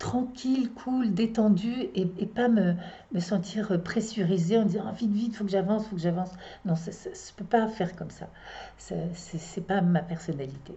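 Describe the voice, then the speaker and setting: Speaking at a moderate pace, a woman at a medium pitch shows big swings in loudness and ordinary pitch variation. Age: 60s. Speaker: astrologer and psychotherapist. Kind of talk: casual monologue to viewers. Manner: halting, many hesitations.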